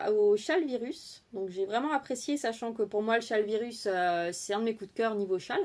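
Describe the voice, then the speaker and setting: On a very clean recording with a silent background, a woman speaks at a moderate pace. Her pitch is fairly high and her intonation lively. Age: 30s. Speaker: crochet and knitting podcaster. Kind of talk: casual chat. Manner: hesitant, many fillers.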